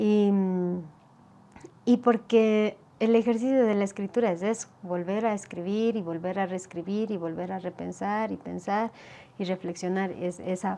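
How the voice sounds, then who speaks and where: A woman with an Ecuadorian accent talks at a fairly slow pace, her medium-pitched voice moving in fairly even intonation. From Ecuador, Otavalo Kichwa community. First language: Kichwa (speaking Spanish). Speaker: poet and writer. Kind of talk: interview conversation. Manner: halting, many fillers and repetitions.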